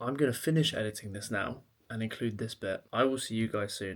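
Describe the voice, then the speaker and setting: A man with an English accent speaks quietly at a medium pitch, at a moderate pace and with ordinary pitch variation. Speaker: fitness coach and vlogger. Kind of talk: vlog. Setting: at home, late evening.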